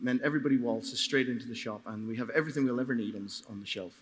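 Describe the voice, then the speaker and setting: A man is speaking. He has a Donegal accent. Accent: Donegal Irish. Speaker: market gardener. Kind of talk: live panel discussion. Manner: halting, repeats words.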